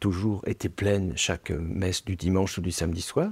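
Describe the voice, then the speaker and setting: A man speaks at a very fast pace in a very deep, low pitch, somewhat breathy. The recording is very clean, with a silent background. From France. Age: 60s. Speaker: novelist. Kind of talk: interview. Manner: hesitant, many fillers.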